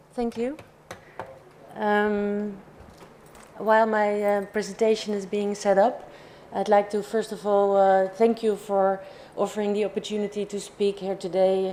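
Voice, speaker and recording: A woman speaks at a medium pitch in a dark, mellow tone, her intonation monotone and flat. Her pace is fairly slow, broken by long, frequent pauses. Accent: Dutch. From Netherlands. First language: Dutch. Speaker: industry alliance director. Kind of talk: conference presentation.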